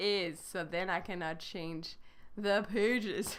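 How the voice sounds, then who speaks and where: In a French accent, a woman talks at a medium pitch. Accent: French accent when speaking English. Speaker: French teacher. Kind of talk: live online lesson. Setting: live stream.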